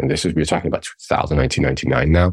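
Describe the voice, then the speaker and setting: Vocal fry runs through a man's very deep, low voice, which has ordinary pitch variation. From Iran. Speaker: tech startup founder. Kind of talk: interview conversation.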